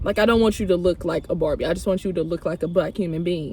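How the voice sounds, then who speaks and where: With an American accent, a woman speaks in an unremarkable speaking voice at a fairly low pitch, keeping her intonation fairly even. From St. Louis, Missouri, US. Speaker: podcast host. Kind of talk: casual chat.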